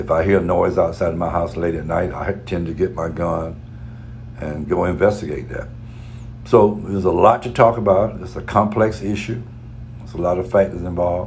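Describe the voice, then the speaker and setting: A man with a very deep, low pitch at a fairly quick pace, ordinary pitch variation, big swings in loudness, audible room echo and noticeable background noise. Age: 60s. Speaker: radio talk show host. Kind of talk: radio commentary.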